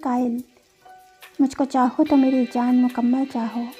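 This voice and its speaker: A woman speaks. Music plays in the background. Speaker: poetry reciter. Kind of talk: poetry reading.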